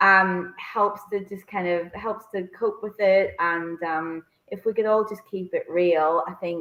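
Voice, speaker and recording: In a Northern Irish accent, a woman speaks with medium pitch and fairly even intonation at a fairly slow pace, with hardly any pauses. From Northern Ireland, Bangor, County Down. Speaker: co-author, working mother. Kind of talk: online interview. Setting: online video interview. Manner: halting, many fillers.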